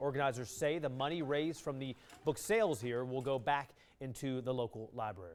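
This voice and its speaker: Man's unremarkable speaking voice, medium in pitch, with ordinary pitch variation and a fairly quick pace. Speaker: local TV news anchor. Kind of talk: TV newscast anchor read. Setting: studio.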